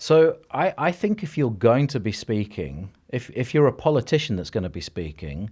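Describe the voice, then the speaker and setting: A man speaks at a medium pitch with a dark, mellow tone and vocal fry, his pitch swinging very widely. He talks at a fairly quick pace in a very clean recording with a silent background. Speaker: cognitive hypnotherapist and coach. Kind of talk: podcast interview. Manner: fast; energetic.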